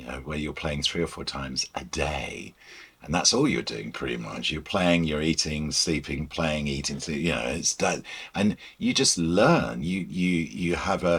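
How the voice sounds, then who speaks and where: Over a silent background in a very clean recording, a man speaks fairly slowly in a very deep, low voice with vocal fry. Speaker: broadcaster and music presenter being interviewed about the Beatles. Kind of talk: interview answer.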